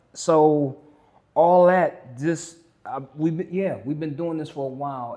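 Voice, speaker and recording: Very slowly, a man speaks in a dark, mellow tone. The background is quiet. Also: fairly high pitch for a man, ordinary pitch variation. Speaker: life coach and educator. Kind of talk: podcast interview. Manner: loud; animated.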